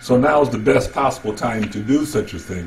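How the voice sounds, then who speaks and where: A man's voice at a middle pitch comes through with clear background noise and some echo from the room. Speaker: real estate coach. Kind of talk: lecture. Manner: fast.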